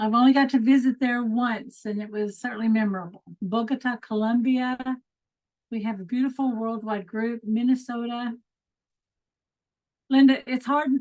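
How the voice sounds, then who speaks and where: A woman speaks at a moderate pace with an American accent and a high pitch. Her speech has long, frequent pauses. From Texas. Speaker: mindset coach and group leader. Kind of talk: online group session hosting. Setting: video call. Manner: animated.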